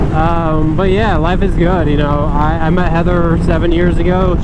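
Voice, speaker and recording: Over noticeable background noise and audible room echo, a man with an American accent speaks at a moderate pace. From North Carolina. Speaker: motorcycle vlogger. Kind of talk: casual vlog monologue. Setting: riding a motorcycle outdoors. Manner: casual, hesitant with fillers.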